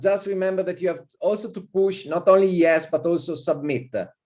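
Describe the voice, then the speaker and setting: The man's voice has a dark, mellow tone. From Italy. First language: Italian. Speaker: visiting professor. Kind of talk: lecture. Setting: video call. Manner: informal, hesitant with many fillers.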